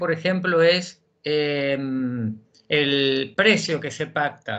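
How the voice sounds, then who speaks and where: The speech moves at a very slow pace. The background is quiet. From Argentina, Buenos Aires province. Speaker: justice of the peace court clerk. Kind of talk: audience question. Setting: video call. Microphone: video call.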